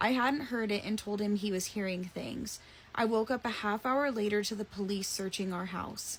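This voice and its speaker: A woman uses a put-on character voice, raspy and medium in pitch. Her intonation is fairly even and her pace moderate. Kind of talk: scary story reading. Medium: read story. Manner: calm, slightly ominous.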